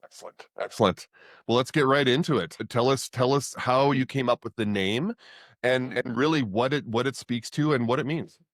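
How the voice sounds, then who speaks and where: A man with an ordinary speaking voice talks at medium pitch and a moderate pace with ordinary pitch variation, recorded dry and close with no echo on a very clean, silent background. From Canada. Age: 50s. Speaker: podcast host. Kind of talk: interview.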